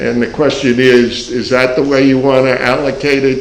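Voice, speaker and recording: A man with an American accent and a medium pitch talks at a moderate pace with fairly even intonation, with audible room echo and noticeable background noise. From New York. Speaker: economics professor. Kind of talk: panel discussion.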